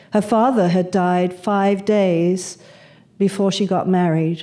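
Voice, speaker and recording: In a British accent, a woman speaks very slowly at a medium pitch, with a dark, mellow tone and fairly even intonation. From England (Manchester, London). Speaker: speaker on spirituality and death. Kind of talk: talk to an audience, personal storytelling.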